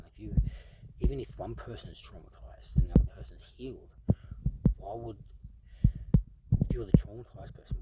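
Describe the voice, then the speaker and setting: A man whispers at a fairly quick pace, broken by long, frequent pauses and big swings in loudness. Noticeable background noise is present. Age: 30s. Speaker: vlogger sharing personal story. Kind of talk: personal monologue.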